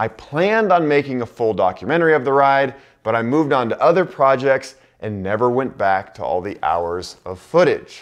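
A man's voice with very wide pitch swings over a quiet background. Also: moderate pace. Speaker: travel vlogger. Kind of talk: casual vlog intro to camera. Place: office. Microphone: lapel.

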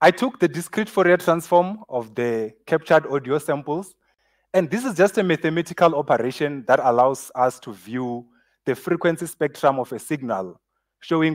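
Moderate-paced male speech over a quiet background. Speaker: speaker. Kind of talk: conference talk. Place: stage.

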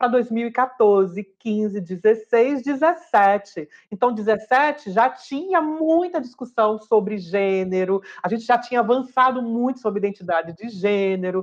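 A woman's voice with very wide pitch swings at a very slow pace, over a quiet background. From Brazil, Fortaleza, Ceará. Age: 40s. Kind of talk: interview testimony. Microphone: webcam.

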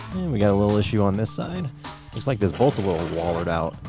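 Clear music plays behind a man talking at a very fast pace. His voice is fairly low and sounds dry with no echo. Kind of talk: casual tutorial commentary. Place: garage. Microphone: phone near.

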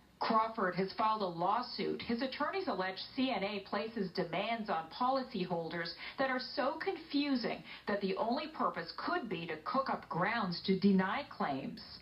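Over noticeable background noise, a woman speaks with a fairly high pitch and very wide pitch swings at a moderate pace with hardly any pauses. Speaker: TV news reporter. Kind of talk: TV news report narration.

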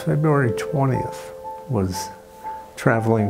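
A man's voice is heard with loud music playing behind it. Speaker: cardiac arrest survivor. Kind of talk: interview answer. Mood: calm, reflective. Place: home room.

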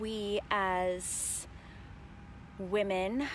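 Light background noise accompanies a woman's voice, which sounds dry with no echo. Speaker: vlogger. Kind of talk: casual vlog chat. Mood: reflective, a bit low. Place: open country. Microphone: earbuds.

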